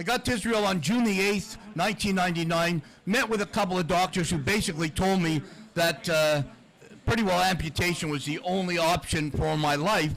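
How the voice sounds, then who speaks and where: A man with a high pitch talks at a fairly quick pace, his pitch varying in an ordinary way, while noticeable background noise is present. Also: very even loudness. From Canada, Toronto area. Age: 60s. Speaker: former hockey goaltender, motivational speaker. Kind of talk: podcast interview, storytelling. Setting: live taping at a sports bar with audience.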